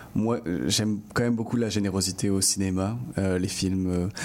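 Here is a man with a normal speaking voice and a fairly low pitch. He talks at a fairly slow pace with fairly even intonation. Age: 20s. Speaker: film director. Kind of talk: interview.

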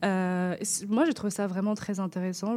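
Her tone is dark and mellow, set at a medium pitch for a woman. She talks at a moderate pace. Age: 20s. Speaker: radio columnist. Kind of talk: radio chronicle.

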